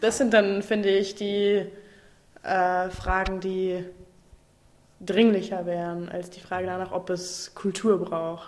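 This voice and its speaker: At a very slow pace and medium pitch, a woman speaks with monotone, flat intonation, long, frequent pauses and big swings in loudness. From Saarland, Germany. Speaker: actress and slam/cabaret performer. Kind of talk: casual interview.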